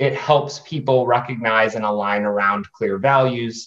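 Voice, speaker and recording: A man with an American accent has a plain, everyday voice. His pitch is medium and his intonation fairly even. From US, New Hampshire. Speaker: philanthropist and game designer. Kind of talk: panel discussion.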